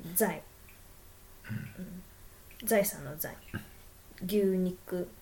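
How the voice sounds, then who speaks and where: Speaking at a very slow pace with long, frequent pauses, a woman at a medium pitch shows big swings in loudness. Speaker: podcast co-host. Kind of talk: casual chat.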